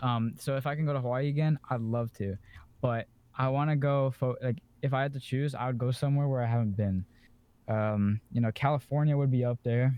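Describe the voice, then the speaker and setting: At a fairly quick pace, a man with a plain, everyday voice talks at a medium pitch, keeping very even loudness and fairly even intonation. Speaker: podcast co-host. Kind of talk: casual chat.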